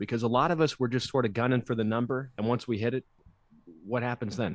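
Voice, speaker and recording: Heard against a quiet background with a dry, close sound and no echo, a man with an American accent has an unremarkable speaking voice, a medium pitch and ordinary pitch variation. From New Jersey. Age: 20s. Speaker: weight loss mentor, former stand-up comic. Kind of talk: casual interview chat.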